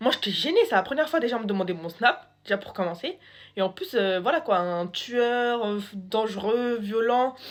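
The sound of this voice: Her intonation is lively and her pitch fairly high. The woman keeps a moderate pace.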